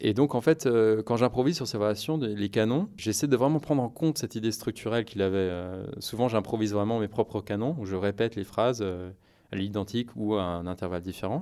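A man with a fairly low pitch and a dark, mellow tone. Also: ordinary pitch variation, fairly quick pace. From France, Paris. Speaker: jazz pianist. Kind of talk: interview.

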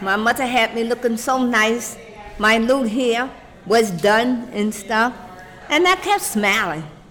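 Against noticeable background noise, a woman with a New York accent speaks fairly slowly at a fairly high pitch with ordinary pitch variation. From Brooklyn, New York. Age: 60s. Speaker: retired city worker. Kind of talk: oral history interview. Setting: senior center.

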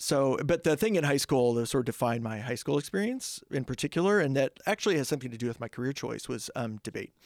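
A man's medium-pitched voice with a US Midwestern accent, very fast and lively in intonation, on a very clean recording with a silent background and a dry, close sound with no echo. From southeast Kansas (Coffeyville). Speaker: political science professor. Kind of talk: casual interview. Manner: animated.

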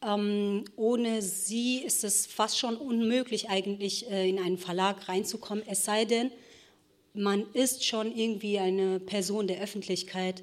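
At a fairly slow pace, a woman with a plain, everyday voice and a medium pitch speaks with fairly even intonation. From Ruhr area, Germany (since age 10). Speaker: novelist. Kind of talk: panel discussion. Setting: stage with audience.

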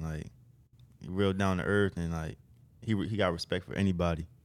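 In an American accent, a man speaks at a moderate pace with a very deep, low pitch and fairly even intonation. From Maryland. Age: 20s. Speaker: college basketball player. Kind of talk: casual chat.

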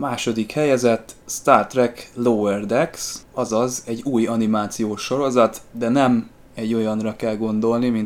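A man speaks at a fairly slow pace in an ordinary speaking voice of medium pitch. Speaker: podcast host, sci-fi fan. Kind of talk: casual chat. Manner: formal, scripted-sounding.

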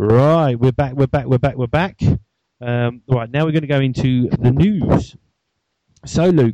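A dark, mellow tone in an English accent, fairly slow, with ordinary pitch variation and long, frequent pauses. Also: man. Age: 30s. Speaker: podcast host. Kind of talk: casual chat.

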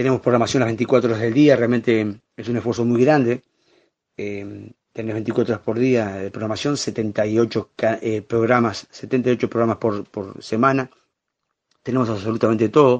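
A man's medium-pitched, monotone voice with flat intonation, at a fairly slow pace. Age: 50s. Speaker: journalist and TV channel director. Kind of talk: interview.

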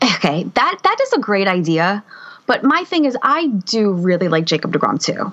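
A woman at a medium pitch makes very wide pitch swings while her loudness stays very even, over noticeable background noise. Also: moderate pace. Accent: American. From Harrison, New Jersey. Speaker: podcast co-host, teacher. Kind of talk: casual chat. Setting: video call.

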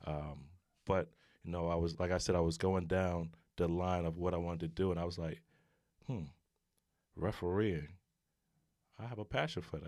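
A man's very deep, low voice with a New York accent, fairly even intonation, moderate pace and long, frequent pauses, on a very clean recording with a silent background. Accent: New York City. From New York City (Brooklyn). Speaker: retired basketball player, aspiring referee. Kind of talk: casual interview.

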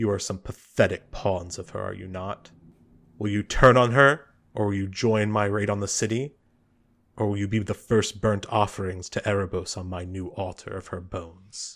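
A man does a put-on character voice at a fairly low pitch, on a very clean recording with a silent background. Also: moderate pace. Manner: menacing, contemptuous.

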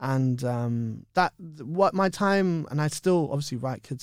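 A man with a London accent speaks with lively intonation. The recording is very clean, with a silent background. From West London, England. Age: 30s. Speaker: actor and children's author. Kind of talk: interview chat.

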